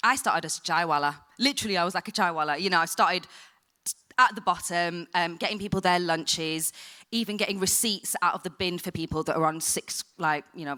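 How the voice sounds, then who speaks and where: A woman with a strong northern English accent speaks very fast in a fairly low voice, her tone bright and sharp and her pitch variation ordinary. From northern England, Blackburn. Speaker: TV production professional. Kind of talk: panel discussion. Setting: stage with audience. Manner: casual, animated.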